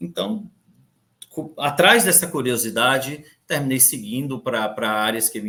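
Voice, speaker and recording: A man's bright, sharp tone moves at a moderate pace. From Brazil, Recife (Pernambuco). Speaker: compliance and audit director. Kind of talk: conference talk. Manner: halting, many fillers and repeats.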